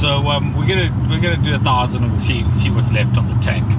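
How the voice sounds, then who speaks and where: A man talks with music playing in the background. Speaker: vlogger. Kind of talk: casual vlog chat. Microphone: phone near.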